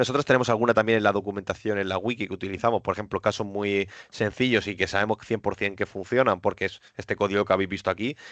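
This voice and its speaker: Against a quiet background, a man speaks at a very fast pace with a fairly low pitch and fairly even intonation, the sound dry and close with no echo. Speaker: cloud technical presenter. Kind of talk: webinar presentation.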